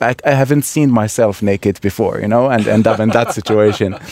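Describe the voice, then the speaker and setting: This is a man speaking with an Iraqi accent. His pitch is medium. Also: dry, close sound with no echo. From Baghdad, Iraq. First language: Arabic. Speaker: immigrant, project participant. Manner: halting, repeats words.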